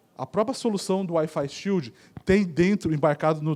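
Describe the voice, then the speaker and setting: A man's voice sits high and moves through a normal range of pitch. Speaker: conference speaker, network solutions presales specialist. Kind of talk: conference talk. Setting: auditorium with audience. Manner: fast.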